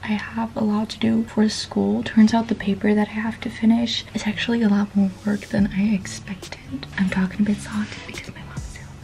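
Faint music sits behind a woman who talks at a fairly quick pace with hardly any pauses. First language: not English. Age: young. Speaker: vlogger. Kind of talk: casual vlog talk to camera. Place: home room. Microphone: phone near.

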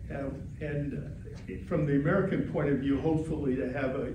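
A man's fairly high voice in monotone, flat intonation, with audible room echo and noticeable background noise. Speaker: retired political science professor. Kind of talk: lecture. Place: meeting room. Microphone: camera far.

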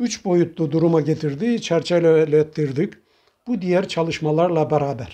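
A man's high-pitched voice with a dark, mellow tone, fairly slow, against a quiet background. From Trabzon, Turkey; Turkey. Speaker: retired imam and model house maker; retired imam. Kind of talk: interview. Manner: formal. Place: home room. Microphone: lapel.

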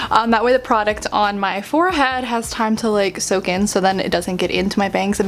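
A woman's fairly quick speech with hardly any pauses, over light background noise. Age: 20s. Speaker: YouTuber and author; YouTuber. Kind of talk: casual vlog chat. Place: home room. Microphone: phone near.

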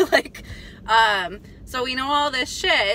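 Light background noise sits behind a woman whose voice sounds dry, with no echo. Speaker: vlogger. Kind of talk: casual vlog chat. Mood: animated ranting, some laughs. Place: car.

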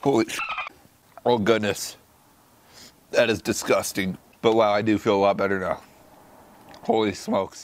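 A man talks at a moderate pace in a fairly low pitch, his intonation monotone and flat, with long, frequent pauses. The sound is dry with no echo, over light background noise. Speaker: vlogger. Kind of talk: casual vlog chat. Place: garden.

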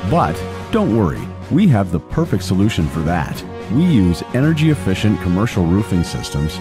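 A man's very deep, low voice with very wide pitch swings at a moderate pace, dry with no echo, clear music in the background. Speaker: voice actor. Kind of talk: commercial read. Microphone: studio mic.

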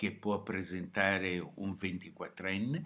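A man is speaking. His pace is very slow. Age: 70s. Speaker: video blogger. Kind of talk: short opinion monologue to camera.

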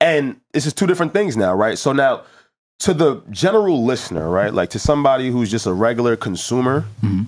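A man at a medium pitch speaks at a fairly quick pace with very wide pitch swings, set against a quiet background. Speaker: podcast co-host. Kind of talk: casual chat. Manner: joking. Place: studio. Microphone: studio mic.

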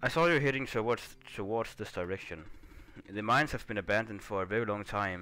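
A man's fairly low-pitched voice has a bright, sharp tone. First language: not English. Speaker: gaming YouTuber. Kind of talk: let's play gameplay commentary. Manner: casual, hesitant with fillers.

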